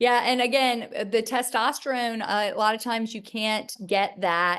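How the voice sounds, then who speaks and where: Someone speaks in a Charleston accent at a moderate pace over a quiet background. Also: woman. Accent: Southern US, Charleston. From US South, Charleston, South Carolina. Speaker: gynecologist. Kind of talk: interview. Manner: halting, many fillers.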